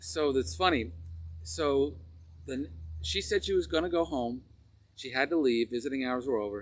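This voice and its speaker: A man with a Long Island accent and medium pitch speaks at a moderate pace, with very wide pitch swings and long, frequent pauses. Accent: Long Island New York. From US Northeast, Long Island, New York. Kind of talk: personal testimony storytelling.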